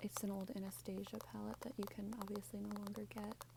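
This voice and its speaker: Noticeable background noise behind a woman at a moderate pace. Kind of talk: ASMR show and tell. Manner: soft-spoken; casual, chatty.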